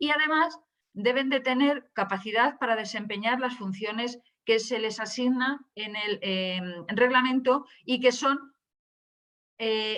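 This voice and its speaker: Very slowly, a woman with a fairly high pitch speaks in a bright, sharp tone with ordinary pitch variation. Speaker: data protection official, webinar speaker. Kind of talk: webinar presentation. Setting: online webinar. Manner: hesitant, many fillers.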